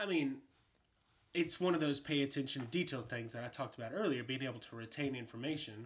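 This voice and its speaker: Talking at a very fast pace, a man with an American accent has a medium pitch and ordinary pitch variation. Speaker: host's husband. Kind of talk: casual chat. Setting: home bedroom recording.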